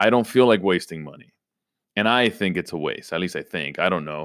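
An energetic, animated man speaks with lively intonation in a dry, close sound with no echo, on a very clean recording with a silent background. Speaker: fantasy sports podcast host. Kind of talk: casual solo podcast talk. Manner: frequent repetitions and fillers.

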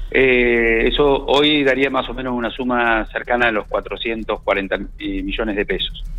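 A man talks very slowly, with hardly any pauses. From La Pampa, Argentina. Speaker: provincial government minister. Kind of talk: radio interview. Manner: halting, with frequent fillers.

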